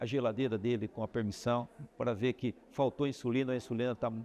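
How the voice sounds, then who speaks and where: At a moderate pace, a man speaks at medium pitch in a dark, mellow tone. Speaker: medical professor. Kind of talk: interview. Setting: medical congress.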